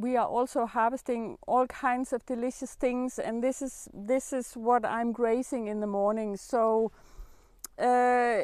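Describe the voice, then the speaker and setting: A woman speaks at a fairly slow pace with a high pitch and monotone, flat intonation. The background is quiet and the sound is dry with no echo. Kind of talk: casual vlog chat. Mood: warm, grateful. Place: garden. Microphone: camera far.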